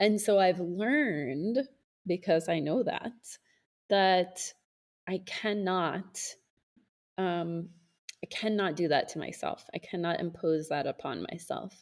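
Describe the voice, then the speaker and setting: A woman with an American accent, medium pitch, a very slow pace, and long, frequent pauses. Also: ordinary pitch variation. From United States. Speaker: podcast host. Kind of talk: casual chat.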